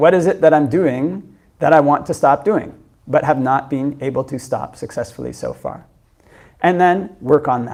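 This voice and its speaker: A man with a Canadian accent and an unremarkable speaking voice, fairly high in pitch, with ordinary pitch variation, at a moderate pace. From Canada, Ontario. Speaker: Buddhist monk teacher. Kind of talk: dharma talk Q&A answer. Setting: meditation centre with audience.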